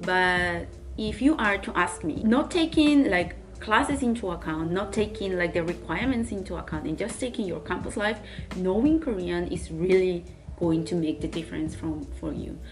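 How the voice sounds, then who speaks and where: The talking moves at a moderate pace. Room echo is audible, and background noise is noticeable. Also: woman. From Spain. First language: Spanish. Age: 20s. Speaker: university student vlogger. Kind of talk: casual Q&A vlog.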